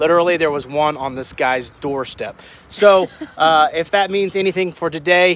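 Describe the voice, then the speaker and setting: There is light background noise and a dry sound with no echo. A man speaks with ordinary pitch variation. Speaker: travel vlogger. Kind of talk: casual vlog chat. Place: open country. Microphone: phone near.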